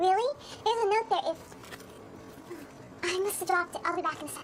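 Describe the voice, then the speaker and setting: In a put-on character voice, a woman squeaks at a very fast pace with extremely high pitch, while clear background noise runs underneath. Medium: short film.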